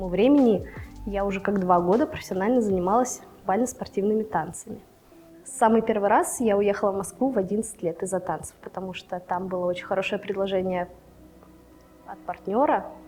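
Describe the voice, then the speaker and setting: Amid noticeable background noise, a woman with a medium pitch and ordinary pitch variation talks at a fairly quick pace, broken by long, frequent pauses. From Russia, Novosibirsk. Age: 20s. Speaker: angler, former ballroom dancer. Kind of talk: interview monologue.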